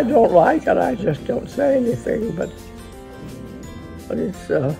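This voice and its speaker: A woman talks at a fairly slow pace. Behind her, music plays clearly in the background. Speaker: elderly woman being visited. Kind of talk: casual conversation. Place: home room. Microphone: phone near.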